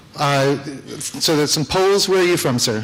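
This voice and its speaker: Over noticeable background noise and audible room echo, a man talks with lively intonation in an American accent. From United States. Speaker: business executive and conference speaker. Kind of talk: conference talk. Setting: stage with audience. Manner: casual, with many fillers.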